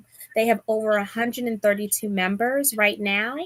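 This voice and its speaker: A woman speaks in a Bronx accent. Her pitch is fairly high. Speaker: sewing content creator and live show host. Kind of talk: live stream chat. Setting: live stream video call.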